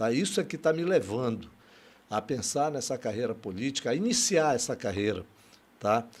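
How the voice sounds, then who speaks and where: A man speaks at a medium pitch. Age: 60s. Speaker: political candidate. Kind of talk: interview. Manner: halting.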